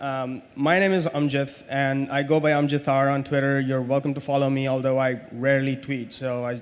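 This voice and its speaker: Fairly high male voice at a moderate pace, with audible room echo. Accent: non-native. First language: not English. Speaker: conference speaker. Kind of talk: technical conference talk. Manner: hesitant, many fillers and repetitions.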